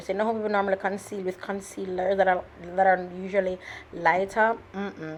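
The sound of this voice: Her pitch is medium, and it shows little movement. The woman keeps a moderate pace.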